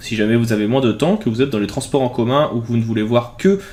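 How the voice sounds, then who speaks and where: A man talks with a normal speaking voice. His pitch sits in the middle range and varies in an ordinary way. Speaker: graphic design software tutor. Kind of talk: tutorial.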